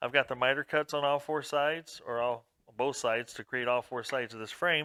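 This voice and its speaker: A man speaks loudly in a fairly high voice with a bright, sharp tone, on a very clean recording with a silent background. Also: dry, close sound with no echo. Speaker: woodworking hobbyist YouTuber. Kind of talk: tutorial. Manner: casual, conversational.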